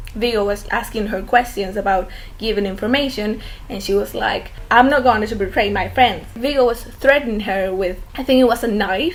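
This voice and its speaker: A woman with a Spanish accent. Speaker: fan video commentator. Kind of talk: casual monologue.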